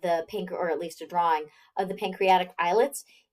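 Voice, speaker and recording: Very clean recording, silent background. A woman speaks with an unremarkable, medium-pitched voice at a fairly quick pace. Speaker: biology instructor. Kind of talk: lecture. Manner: conversational, with fillers.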